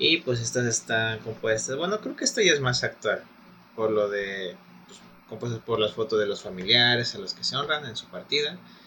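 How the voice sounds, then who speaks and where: A man speaks at a moderate pace in a Mexican accent, his loudness swinging widely. Noticeable background noise sits behind him. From Mexico. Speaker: podcast co-host. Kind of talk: casual chat.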